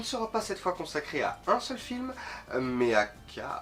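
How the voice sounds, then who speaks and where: Music plays in the background. Over it, a man with a high pitch speaks with very wide pitch swings. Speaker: film critic YouTuber. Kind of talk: film review monologue.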